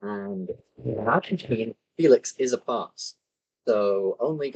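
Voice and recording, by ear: The background is quiet while someone reads the text aloud in a natural voice.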